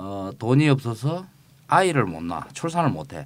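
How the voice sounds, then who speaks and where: Fairly high-pitched man with very wide pitch swings at a fairly slow pace. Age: 50s. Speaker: podcast co-host, former presidential aide. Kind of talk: casual chat. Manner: hesitant with frequent fillers.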